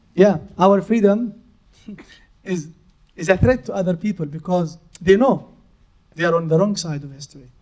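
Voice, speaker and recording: The speaker has a Palestinian accent and a moderate pace. Loudness swings widely, with long, frequent pauses. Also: man, high pitch for a man, ordinary pitch variation. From Gaza, Palestine. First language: Arabic. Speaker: poet. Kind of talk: Q&A at book event. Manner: animated.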